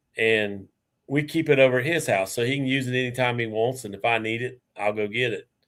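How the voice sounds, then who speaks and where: With a normal speaking voice, a man talks at a fairly quick pace, medium in pitch and fairly even in intonation, on a very clean recording with a silent background. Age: 60s. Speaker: beekeeper. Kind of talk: casual chat.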